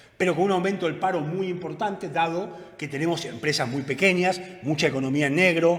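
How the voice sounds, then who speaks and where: The speech moves at a fairly quick pace with fairly even intonation, over noticeable background noise and audible room echo. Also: man. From Argentina. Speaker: economist. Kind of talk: lecture. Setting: conference with audience. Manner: fast.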